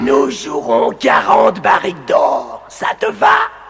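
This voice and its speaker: In a put-on character voice, the speaker shouts at a fairly slow pace. Clear background noise sits behind the voice. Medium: audio drama. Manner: gleeful, repetitive, cackling.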